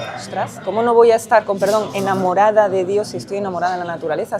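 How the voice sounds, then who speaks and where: A woman's medium-pitched voice at a very fast pace with ordinary pitch variation, crowd noise in the background. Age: 40s. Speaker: recently baptized adult. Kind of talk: testimony.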